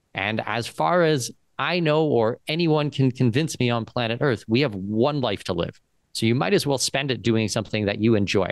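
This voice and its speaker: In a dry recording with no echo and a quiet background, a man uses an ordinary speaking voice at a medium pitch, with lively intonation and a moderate pace. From Southwestern Ontario, Canada. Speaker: second citizenship and expat consultant. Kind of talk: interview. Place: office. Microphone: studio mic.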